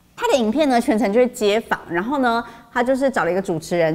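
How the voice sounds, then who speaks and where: This is a woman speaking. Her intonation is lively. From Taiwan. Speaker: news show host. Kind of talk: casual news chat. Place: studio.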